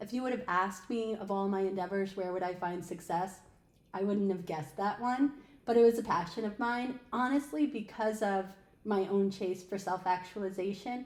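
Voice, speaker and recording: This woman speaks at a moderate pace in a medium pitch with ordinary pitch variation, in an unremarkable speaking voice. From upstate New York, Albany area. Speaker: podcast co-host and recruiter. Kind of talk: casual podcast conversation.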